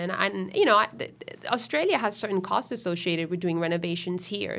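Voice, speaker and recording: A woman speaks in an unremarkable speaking voice at a medium pitch. Her intonation is fairly even, with an American accent. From Miami, Florida (Italian-Venezuelan household). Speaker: fashion designer. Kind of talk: casual interview. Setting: studio.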